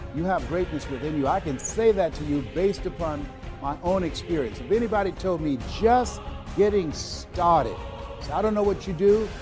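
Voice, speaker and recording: Background music plays while the speech moves along at a fairly quick pace. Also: man. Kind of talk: motivational speech.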